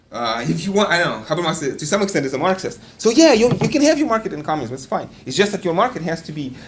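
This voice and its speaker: The speech comes at a very fast pace with hardly any pauses. Noticeable background noise is present. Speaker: philosophy lecturer. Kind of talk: lecture. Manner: halting, many fillers and repetitions.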